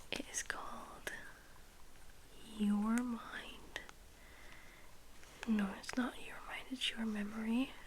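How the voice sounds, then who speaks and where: A woman whispers at a very slow pace, with long, frequent pauses. Noticeable background noise is present. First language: not English. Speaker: ASMR creator. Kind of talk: ASMR reading aloud. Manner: soft-spoken.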